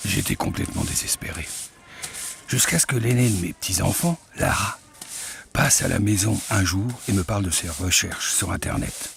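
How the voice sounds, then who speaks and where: Over noticeable background noise, a man with a fairly low pitch uses lively intonation and takes long, frequent pauses. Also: moderate pace. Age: 60s. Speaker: patient testimonial narrator. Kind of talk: scripted narration.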